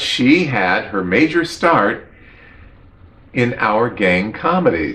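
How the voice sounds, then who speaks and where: A man speaks at a very slow pace with very wide pitch swings. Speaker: film commentary host. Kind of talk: casual commentary. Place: home room. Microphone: webcam.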